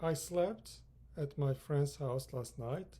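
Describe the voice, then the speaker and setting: A man speaks with a Turkish accent. His pace is very slow. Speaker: English teacher. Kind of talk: lecture.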